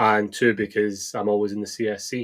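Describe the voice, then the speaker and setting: In a Scottish accent, a man speaks at a fairly low pitch. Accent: Scottish, nondescript, taken for Edinburgh. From eastern Scotland (Balmedie, Arbroath, Dundee). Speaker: football fan, supporters club member. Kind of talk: casual chat. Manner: halting, repeats words.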